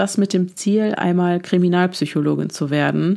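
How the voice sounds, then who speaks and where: A woman's dark, mellow voice at medium pitch, with lively intonation and a moderate pace, in a very clean recording over a silent background. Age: 20s. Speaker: podcast host, psychology student. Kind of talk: solo podcast introduction. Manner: casual, direct address to listener.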